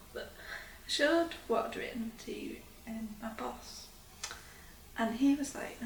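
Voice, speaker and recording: Woman's voice at a fairly high pitch with ordinary pitch variation, over noticeable background noise. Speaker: doctor. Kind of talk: interview answer.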